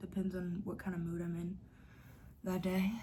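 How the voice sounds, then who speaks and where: At a fairly quick pace, a woman speaks with a medium pitch. Her tone is dark and mellow, and somewhat breathy. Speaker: vlogger. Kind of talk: casual vlog talk.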